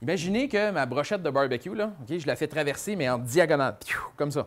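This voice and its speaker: A man in a Quebec accent, fairly quick and lively in intonation. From Quebec, Montreal area. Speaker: children's author and magician. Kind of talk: presentation to a young audience; animated talk to children. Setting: book fair stage with audience. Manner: casual, filler-heavy. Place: classroom. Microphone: lapel.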